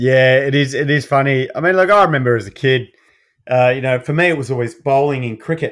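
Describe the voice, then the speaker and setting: A man with an Australian accent talks at a very fast pace. His pitch is fairly high, with ordinary variation. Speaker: allied health practitioner. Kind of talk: casual chat.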